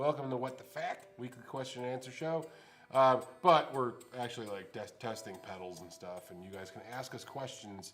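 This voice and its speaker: Over noticeable background noise, a man of medium pitch talks at a moderate pace with lively intonation and big swings in loudness. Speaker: guitar shop show host. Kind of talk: casual live show chat. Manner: animated.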